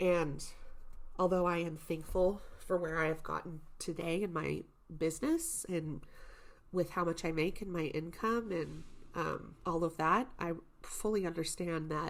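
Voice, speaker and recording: In an ordinary speaking voice, a woman speaks at a fairly slow pace with a fairly low pitch and fairly even intonation. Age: 30s. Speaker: podcast host. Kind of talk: casual solo podcast monologue. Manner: casual, conversational.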